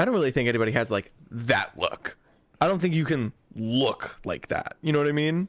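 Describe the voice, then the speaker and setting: With an American accent, a man in an ordinary speaking voice talks fairly quickly at a fairly high pitch, his intonation lively and his loudness very even. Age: 20s. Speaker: podcast host. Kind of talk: casual chat.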